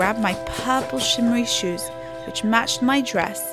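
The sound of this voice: What you hear is an unforced reading voice.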